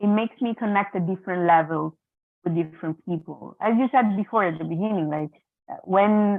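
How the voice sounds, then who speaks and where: With an Italian accent, a woman of medium pitch talks at a fairly quick pace with ordinary pitch variation. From Italy. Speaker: mediator. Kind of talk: symposium talk over video. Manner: hesitant, many repetitions.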